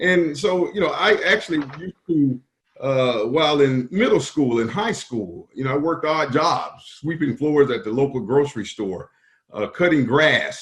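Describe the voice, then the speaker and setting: A man in a South Carolina accent, somewhat breathy and fairly high in pitch, with lively intonation at a moderate pace. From US South, rural South Carolina. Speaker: business association executive. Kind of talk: interview.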